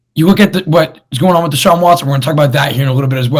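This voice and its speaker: The man's voice is somewhat breathy. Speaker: sports podcast host. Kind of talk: casual sports talk show. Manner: casual, conversational.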